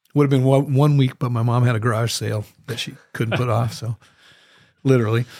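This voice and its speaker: Speaking with an American accent, a man uses a medium pitch and a fairly quick pace. His delivery is monotone and flat, with a somewhat breathy quality. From US Northwest, Moscow, Idaho. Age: 60s. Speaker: professional musician. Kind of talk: casual chat. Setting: studio.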